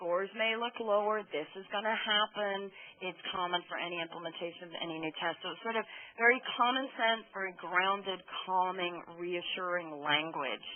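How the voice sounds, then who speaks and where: A woman at a medium pitch and a moderate pace, ordinary pitch variation, noticeable background noise. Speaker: opinion researcher presenting findings. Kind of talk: webinar presentation. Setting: conference call webinar.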